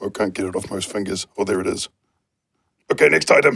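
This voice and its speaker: Raspy and very fast, this is a put-on character voice. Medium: puppet. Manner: upbeat, encouraging.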